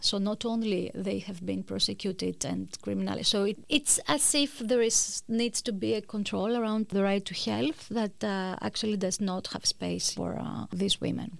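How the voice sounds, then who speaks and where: A woman talks at a moderate pace with a Greek accent. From Greece. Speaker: law professor. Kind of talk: interview. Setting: studio. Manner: halting.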